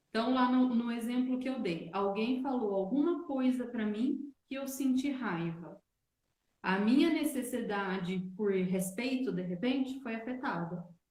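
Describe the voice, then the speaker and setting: A woman's high-pitched voice with lively intonation at a fairly slow pace, in a room with audible echo. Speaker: wellness teacher. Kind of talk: online live talk. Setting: livestream.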